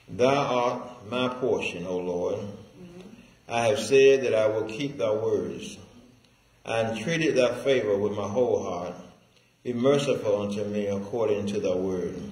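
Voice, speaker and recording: Talking at a fairly slow pace, a man shows ordinary pitch variation, with audible room echo around him. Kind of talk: scripture reading. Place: church.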